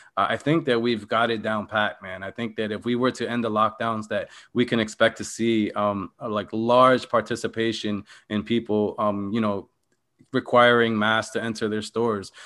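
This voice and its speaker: A man with an American accent speaks in a monotone, flat intonation. The background is quiet. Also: medium pitch for a man, moderate pace. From Philadelphia, US. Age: 30s. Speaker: political activist. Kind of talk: casual chat.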